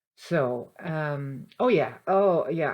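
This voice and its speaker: A woman talks with a Dutch accent. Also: quiet background. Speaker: spiritual channeler. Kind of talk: casual spiritual monologue. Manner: halting, many fillers and restarts.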